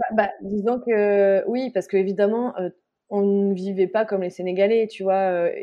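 Her medium-pitched voice stays monotone and flat as this woman speaks at a fairly slow pace. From France. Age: 30s. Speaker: journalist and mother. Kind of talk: casual interview.

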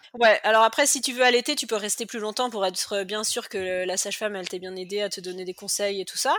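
A woman talks at a fairly quick pace with hardly any pauses, using a medium pitch with ordinary variation against noticeable background noise. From western France, Cholet. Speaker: cancer survivor, mother. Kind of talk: personal testimony interview. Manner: talkative.

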